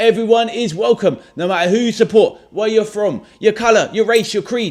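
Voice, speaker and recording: A man with a high pitch talks at a moderate pace in a very clean recording with a silent background. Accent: London. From London, England (Stoke Newington). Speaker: football watchalong streamer. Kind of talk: live stream chat and match reaction. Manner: casual, energetic.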